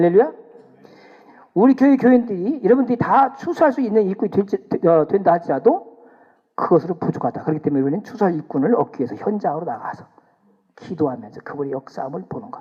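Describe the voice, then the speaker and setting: The speech runs at a very fast pace. Long pauses break it up frequently. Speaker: pastor. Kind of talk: sermon.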